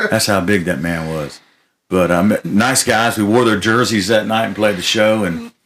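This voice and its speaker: An ordinary speaking voice from a man with an American accent, fairly low in pitch, with fairly even intonation. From Florida. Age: 60s. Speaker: country music artist. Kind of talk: casual chat.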